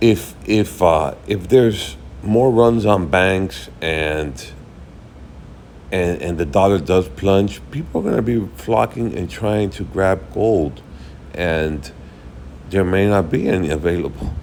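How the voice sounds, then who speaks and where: Amid noticeable background noise and audible room echo, a man with a very deep, low voice speaks very slowly with lively intonation and long, frequent pauses. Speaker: investing video creator. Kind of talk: casual market commentary. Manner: halting, many repetitions and fillers.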